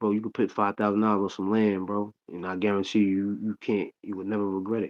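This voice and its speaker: Using an American accent, a man with a fairly low pitch talks at a very fast pace. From Long Island, New York (Hempstead). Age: 40s. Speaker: rapper and actor. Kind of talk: casual chat. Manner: animated.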